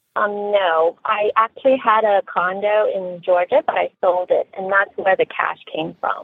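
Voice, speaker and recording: A woman with an unremarkable speaking voice and medium pitch talks at a fairly slow pace with ordinary pitch variation and hardly any pauses. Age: 40s. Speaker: radio call-in caller. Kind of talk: casual advice call.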